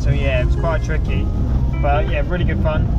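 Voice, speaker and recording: Fairly quick speech over loud music in the background, the sound dry with no echo. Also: man. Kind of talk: casual vlog chat. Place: car. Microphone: camera far.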